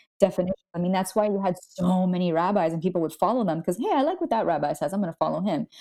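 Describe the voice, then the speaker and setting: A woman with an American accent and a dark, mellow tone talks at a very fast pace with hardly any pauses, her medium pitch showing ordinary variation. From Miami, Florida (Cuban American). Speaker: writer and theology student. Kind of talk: casual interview.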